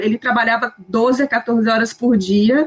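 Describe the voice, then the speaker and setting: Speaking in a normal speaking voice, the woman keeps a fairly high pitch and a fairly even intonation. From Brazil, Minas Gerais / Espírito Santo. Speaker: former flight attendant, expat. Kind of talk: casual group chat.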